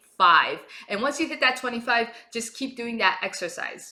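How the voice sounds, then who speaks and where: A woman talks in a high pitch with a Japanese accent. Noticeable background noise runs underneath. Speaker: vocal coach. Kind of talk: tutorial.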